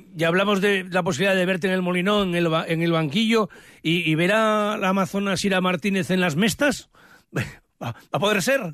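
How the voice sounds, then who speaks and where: Talking at a moderate pace against a quiet background, a man with a high voice keeps ordinary pitch variation and very even loudness. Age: 60s. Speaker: sports radio journalist. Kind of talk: casual chat.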